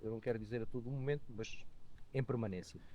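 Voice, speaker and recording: In a dark, mellow tone, a man talks at a medium pitch. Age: 60s. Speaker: motorcyclist and economist. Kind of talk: podcast interview. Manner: hesitant, many fillers.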